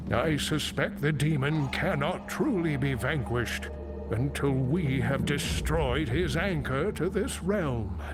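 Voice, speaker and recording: A man's put-on character voice at a fairly slow pace amid loud background noise. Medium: machinima. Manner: earnest, grave.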